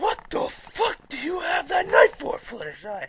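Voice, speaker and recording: In a put-on character voice, a man talks at an extremely high pitch. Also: moderate pace. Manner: angry, confronting.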